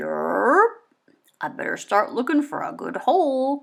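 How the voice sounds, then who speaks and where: In a put-on character voice, a woman speaks croakily at a fairly slow pace with a high pitch. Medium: read story.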